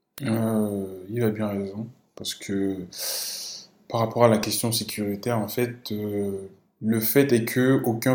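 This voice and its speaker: Audible room echo surrounds a man of medium pitch who speaks fairly slowly in a monotone, flat way. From Togo. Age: 20s. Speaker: software developer. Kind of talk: casual discussion. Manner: halting.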